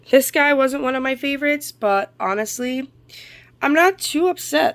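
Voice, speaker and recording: With lively intonation, a woman speaks at a moderate pace in a high-pitched voice. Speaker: model horse collector vlogger. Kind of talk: haul video. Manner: casual, hesitant with fillers.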